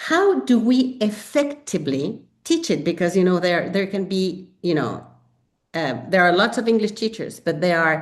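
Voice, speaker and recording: A woman's medium-pitched voice at a moderate pace, with very wide swings in pitch. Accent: Spanish. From Mexico. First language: Spanish. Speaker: English teacher and textbook author. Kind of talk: webinar presentation. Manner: animated, frequent fillers.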